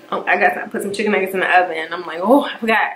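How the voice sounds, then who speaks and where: Speaking at a fairly quick pace, a woman keeps a medium pitch and fairly even intonation. Audible room echo and noticeable background noise surround her voice. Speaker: YouTuber. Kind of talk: casual chat.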